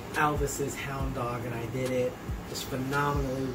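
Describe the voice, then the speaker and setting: Loud background noise under a man's moderate-paced speech. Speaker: YouTube host. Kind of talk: casual talk to camera. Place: kitchen. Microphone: camera far.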